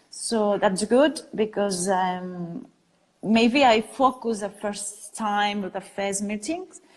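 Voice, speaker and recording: The speaker talks at a very slow pace with a Catalan accent. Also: woman. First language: Spanish or Catalan. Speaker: design studio founder. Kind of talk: interview. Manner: halting.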